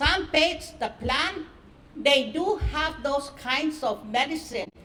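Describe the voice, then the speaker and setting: Against noticeable background noise, a woman projects a raised voice at a very slow pace, high in pitch with ordinary pitch variation. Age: 70s. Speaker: author and traditional healer. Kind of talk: speech at a book launch.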